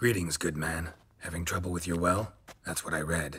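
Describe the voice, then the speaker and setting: Raspy, very deep put-on character voice from a man, deadpan in tone, at a moderate pace. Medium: video game. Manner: terse, deadpan.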